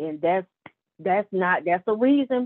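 At a moderate pace, a woman talks at a medium pitch in a normal speaking voice, her pitch varying in an ordinary way. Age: 40s. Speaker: nurse. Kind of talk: casual interview.

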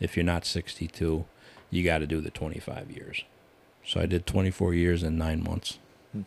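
In an American accent, a man with a very deep, low pitch talks in a monotone, flat intonation, leaving long, frequent pauses. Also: fairly slow pace. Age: 60s. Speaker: retired prison worker. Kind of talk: casual chat.

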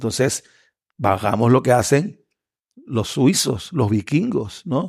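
A man's medium-pitched, somewhat breathy voice with a Panamanian accent, very slow, with long, frequent pauses, in a very clean recording against a silent background. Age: 50s. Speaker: lawyer and political candidate. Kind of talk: interview. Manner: halting, many fillers.

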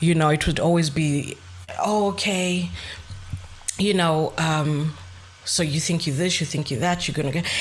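With noticeable noise behind her, a woman speaks at a fairly low pitch and moderate pace, using ordinary pitch variation. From Zambia and Zimbabwe, raised partly in Greece. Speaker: podcast co-host. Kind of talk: casual chat.

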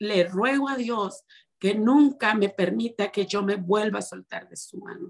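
Her delivery is very slow, and the woman's pitch varies in an ordinary way. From Mexico, Ciudad Obregón, Sonora. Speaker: minister's wife, church member. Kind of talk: testimony.

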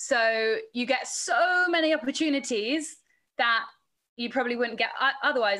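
In a very clean recording with a silent background, a woman speaks with an English accent and a bright, sharp tone, using ordinary pitch variation. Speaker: sports presenter and reporter. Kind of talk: casual chat.

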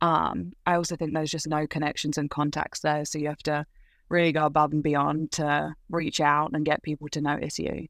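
A woman's very deep, low voice with a southern English accent, monotone and flat at a moderate pace, dry and close with no echo on a very clean recording with a silent background. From England, Leighton Buzzard (Bedfordshire). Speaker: college gymnast. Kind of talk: interview.

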